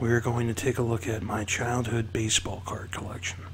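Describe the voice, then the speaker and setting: Noticeable background noise sits behind a soft-spoken man. His pitch is medium and his pace moderate. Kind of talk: ASMR show-and-tell.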